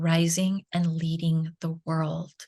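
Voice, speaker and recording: Somewhat breathy and fairly low in pitch, a woman speaks at a very slow pace. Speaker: Reiki master and feminine energy mentor. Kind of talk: podcast interview answer.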